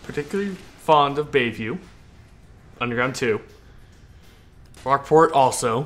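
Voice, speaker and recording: Backed by music, a man speaks at a fairly high pitch in an American accent. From California. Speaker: video game streamer. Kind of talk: live stream gameplay commentary. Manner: halting, repeats words.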